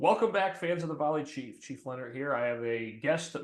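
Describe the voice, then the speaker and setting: In a New England accent, a man talks at a fairly quick pace with a fairly high pitch. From New England, between Boston and New York. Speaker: fire chief and podcast host. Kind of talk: casual podcast chat. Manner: hesitant, many fillers.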